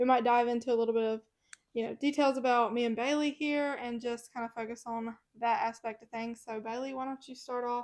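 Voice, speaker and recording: A woman with a Mississippi accent, high-pitched and monotone with flat intonation, against a quiet background. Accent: Southern US (Mississippi). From US South, Mississippi. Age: 20s. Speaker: podcast co-host. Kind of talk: casual chat.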